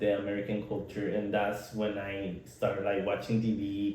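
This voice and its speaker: A man with a Nicaraguan accent, a dark, mellow tone and a somewhat breathy voice, at a moderate pace with audible room echo. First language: Spanish. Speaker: podcast co-host. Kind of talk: casual chat. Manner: halting.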